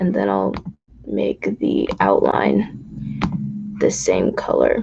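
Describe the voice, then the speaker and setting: A man puts on a character voice that is raspy. He speaks at a very slow pace. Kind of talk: casual, instructional.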